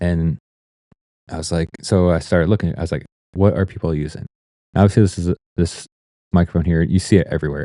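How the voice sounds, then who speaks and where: In an American accent, a man talks at a very deep, low pitch with a dark, mellow tone, the sound dry and close with no echo and the background quiet. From Ohio, US Midwest. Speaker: photographer and vlogger. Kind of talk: casual vlog talk. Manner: drags on words, trailing sounds; halting, many fillers and restarts. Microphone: Shure SM7B with new audio interface and noise gate.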